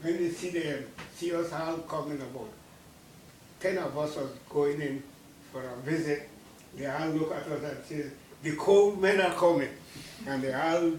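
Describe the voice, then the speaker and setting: Amid audible room echo and noticeable background noise, a man speaks at a moderate pace and fairly high pitch with ordinary pitch variation and long, frequent pauses. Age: 80s+. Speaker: war veteran. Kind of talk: talk to school children. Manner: halting.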